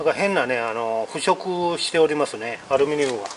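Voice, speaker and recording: Noticeable background noise runs under the recording. A man speaks at a fairly high pitch. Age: 50s. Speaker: YouTuber. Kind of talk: vlog tutorial. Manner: halting with many fillers. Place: street. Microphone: phone near.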